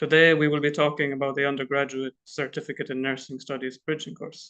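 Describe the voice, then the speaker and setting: A man speaks very fast in an Irish accent, with a fairly high, bright, sharp voice. His intonation is flat and monotone, and the background is quiet. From Ireland. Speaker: international student coordinator at a college. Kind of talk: informational presentation. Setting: live online stream.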